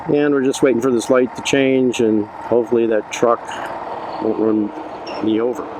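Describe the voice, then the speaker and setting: At a moderate pace, a man with a medium-pitched voice speaks in a monotone, flat way at very even loudness, with noticeable background noise. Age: 60s. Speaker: motovlogger, retiree. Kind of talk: casual vlog narration while riding. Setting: outdoors on a motorcycle, helmet camera.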